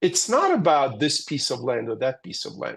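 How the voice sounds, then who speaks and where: A man talks with a Russian accent. The background is quiet. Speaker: geopolitical analyst. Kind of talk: webinar Q&A answer. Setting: webinar. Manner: animated.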